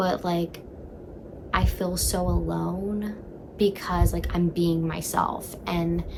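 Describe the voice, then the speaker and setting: A woman speaks at a fairly slow pace with a fairly low pitch. Her intonation is monotone and flat, and background noise is noticeable. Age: 20s. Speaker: vlogger. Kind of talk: casual chat. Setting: in bed at home. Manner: loud.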